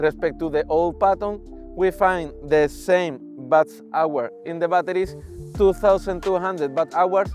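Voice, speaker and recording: Enthusiastic in tone, a man with a Spanish accent and a high pitch speaks with ordinary pitch variation over music in the background. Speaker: electric unicycle reviewer. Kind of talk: product review to camera.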